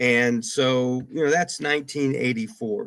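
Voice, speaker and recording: A man's ordinary speaking voice at medium pitch, with fairly even intonation and a fairly slow pace, on a very clean recording with a silent background. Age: 60s. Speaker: radio broadcaster. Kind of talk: interview.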